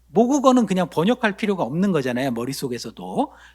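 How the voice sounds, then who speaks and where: The speaker keeps to a moderate pace. The recording is very clean and the background silent. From Korea. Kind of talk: lecture.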